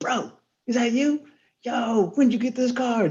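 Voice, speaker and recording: A put-on character voice pitched fairly high. The pace is moderate. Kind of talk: casual slang. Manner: energetic, hyped up.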